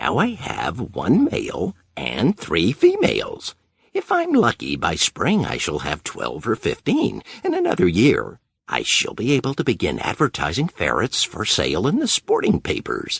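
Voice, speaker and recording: Here a man performs a put-on character voice at a moderate pace. The sound is dry and close, with no echo. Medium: read story.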